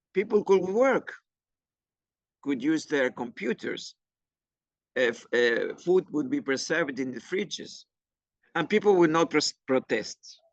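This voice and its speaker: With long, frequent pauses, a man speaks fairly slowly in a high voice that swings very widely in pitch, the sound dry and close with no echo. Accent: Argentine. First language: Spanish. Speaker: climate educator. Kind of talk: workshop presentation. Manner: halting, with many fillers and restarts.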